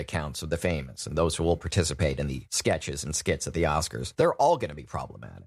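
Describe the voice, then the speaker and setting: Vocal fry runs through speech delivered at a very fast pace. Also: man. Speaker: podcast host. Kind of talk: podcast commentary.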